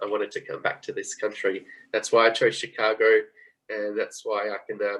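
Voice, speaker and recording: A man talks at a fairly quick pace with an Australian accent. His loudness swings a lot. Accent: Australian, still noticeable. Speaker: former exchange student, guest speaker. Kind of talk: club talk on video call. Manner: fast.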